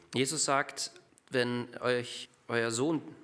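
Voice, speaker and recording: Noticeable background noise fills the recording. Over it, a man speaks at medium pitch. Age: 30s. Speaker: lay preacher. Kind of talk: sermon. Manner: halting.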